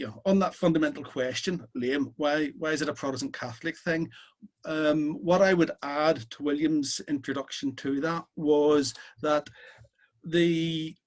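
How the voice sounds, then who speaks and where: The speaker has a Belfast accent and ordinary pitch variation. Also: man. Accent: Belfast Irish, sometimes a bit strong. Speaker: socialist speaker. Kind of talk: talk at an online political meeting.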